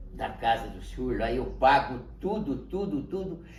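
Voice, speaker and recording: A man at a very slow pace, with audible room echo. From Brazil, São Paulo state interior. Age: 80s+. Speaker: grandfather telling his life story. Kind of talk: interview, personal life story. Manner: halting, repetitive.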